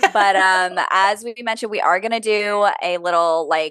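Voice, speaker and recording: A woman with an unremarkable speaking voice and ordinary pitch variation talks at a fairly slow pace against a quiet background. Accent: American. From US East Coast. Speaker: podcast co-host. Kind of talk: casual chat.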